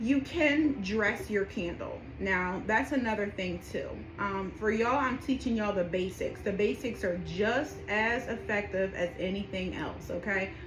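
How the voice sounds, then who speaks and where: At a fairly slow pace and with ordinary pitch variation, the voice carries audible room echo over noticeable background noise. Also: woman, medium pitch for a woman. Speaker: spiritual practitioner teaching rituals. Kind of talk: tutorial. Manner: casual, with many fillers; whispering during petition.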